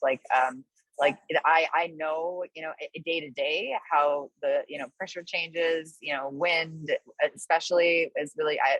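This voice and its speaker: A flat, monotone delivery in a dry, close sound with no echo. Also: woman. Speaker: course participant. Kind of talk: q&a in online class. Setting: video call from a balcony. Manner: halting; loud.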